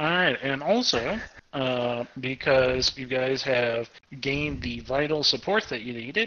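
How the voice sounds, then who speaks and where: This man has a plain, everyday voice at a medium pitch. He talks at a fairly slow pace with ordinary pitch variation. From Arkansas, US South. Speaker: game master running a tabletop RPG. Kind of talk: casual tabletop roleplaying game session.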